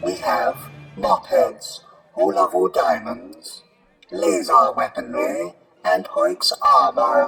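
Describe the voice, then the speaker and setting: A man does a put-on character voice at a very slow pace, with clear echo around him. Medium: audio drama. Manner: brusque, impatient.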